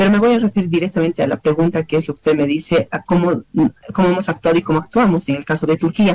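Very fast in pace, a woman speaks in a dark, mellow tone with ordinary pitch variation. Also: fairly low pitch for a woman. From Bolivia. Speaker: deputy foreign minister. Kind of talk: interview. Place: office. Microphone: video call.

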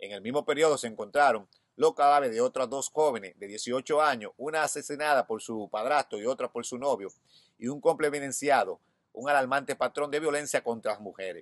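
Fairly high in pitch, a man talks at a fairly quick pace with ordinary pitch variation. His loudness swings widely, and the sound is dry with no echo. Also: quiet background. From Dominican Republic. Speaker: YouTube news commentator. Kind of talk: news reading with commentary. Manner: halting. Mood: concerned, serious. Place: garden. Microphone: phone near.

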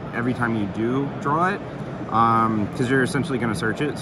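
Loud background noise runs throughout. The sound is dry, with no echo. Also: man. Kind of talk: casual deck explanation. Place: hall. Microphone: phone near.

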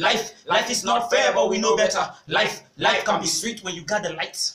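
A raised, projected male voice, high in pitch, with fairly even intonation and audible room echo. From Nigeria. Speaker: spoken word artist. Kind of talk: spoken word performance. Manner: rhythmic. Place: home room. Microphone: camera far.

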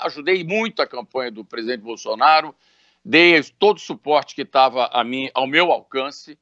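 A man speaks at a moderate pace with lively intonation. The sound is dry with no echo, and the background is quiet. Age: 60s. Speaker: businessman; interviewee. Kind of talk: interview. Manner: halting. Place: home room. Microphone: video call.

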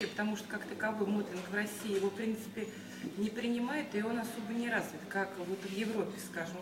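A woman keeps a moderate pace while loud background noise plays underneath. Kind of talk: testimonial interview answer. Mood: warm, grateful. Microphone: camera far.

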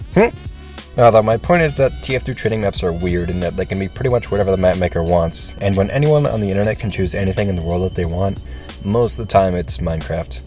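Talking at a very fast pace over background music, a man uses a very deep, low voice with lively intonation. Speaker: gaming video creator. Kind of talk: video essay narration.

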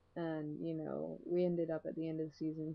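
A soft-spoken woman talks at a fairly quick pace. Her very deep, low pitch stays monotone and flat. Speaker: video blogger; vlogger. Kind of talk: casual vlog monologue. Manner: hesitant, many fillers. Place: home room. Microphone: webcam.

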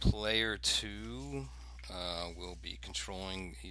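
A man with a very deep, low pitch, a bright, sharp tone and vocal fry, in a dry sound with no echo. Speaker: game demo host. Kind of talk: rules explanation.

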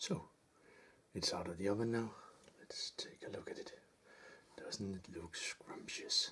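Soft-spoken and at a fairly slow pace, the voice comes with long, frequent pauses over light background noise. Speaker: home cook. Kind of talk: soft-spoken cooking video. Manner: rambling, casual. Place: kitchen.

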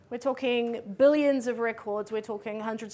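Speaking in a New Zealand accent, a woman has a fairly high pitch, a dark, mellow tone and fairly even intonation. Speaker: conference speaker. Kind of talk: conference talk. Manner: fast. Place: hall.

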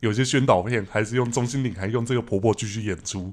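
In an ordinary speaking voice, a man talks at a fairly quick pace with medium pitch and ordinary pitch variation over a quiet background. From Taiwan. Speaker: podcast host. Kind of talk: casual chat. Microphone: studio mic.

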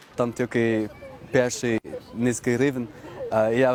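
Through noticeable background noise, a man's medium-pitched voice comes at a fairly slow pace. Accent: Dutch. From Netherlands, Amsterdam. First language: Dutch (speaking Ukrainian). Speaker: foreign resident interviewee. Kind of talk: interview.

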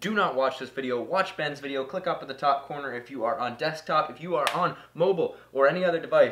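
A man speaks at a fairly quick pace, his pitch varying in an ordinary way, with light background noise behind. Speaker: vlogger. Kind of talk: casual vlog chat. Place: workshop.

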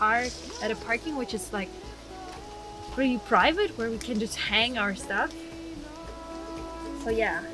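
Clear music plays behind a dry voice with no echo, delivered at a fairly slow pace. Long pauses come often, and the pitch varies in an ordinary way. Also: woman. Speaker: vlogger. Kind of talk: casual vlog chat. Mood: cheerful, laughing. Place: car. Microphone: camera far.

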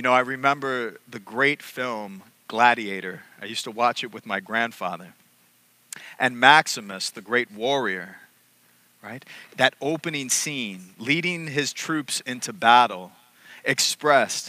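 Ordinary pitch variation, big swings in loudness, and dry sound with no echo. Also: man. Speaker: priest. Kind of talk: sermon. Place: church. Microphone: headset.

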